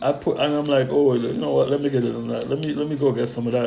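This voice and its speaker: Male speech with background music and an audible echo from the room. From Jamaica. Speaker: stock trading youtuber. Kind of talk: casual stock picks talk. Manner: animated.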